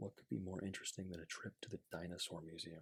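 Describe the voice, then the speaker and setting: Soft-spoken and somewhat breathy, a man with a very deep, low voice talks at a fairly quick pace in a relaxed tone with fairly even intonation. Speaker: ASMR creator. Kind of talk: children's picture book reading. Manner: soft-spoken, relaxed.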